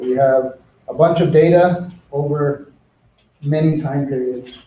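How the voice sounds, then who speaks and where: The voice is somewhat breathy, with fairly even intonation and audible room echo. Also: man, fairly high pitch for a man. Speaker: teacher. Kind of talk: lecture. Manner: fast.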